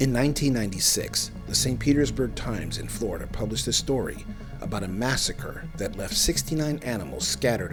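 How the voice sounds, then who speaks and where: A man speaks at a fairly quick pace, with music in the background. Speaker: podcast host. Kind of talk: paranormal documentary narration.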